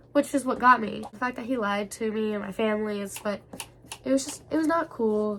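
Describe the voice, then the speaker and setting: Through noticeable background noise, a woman talks at a fairly quick pace in a fairly high voice with lively intonation. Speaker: vlogger. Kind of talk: storytime vlog.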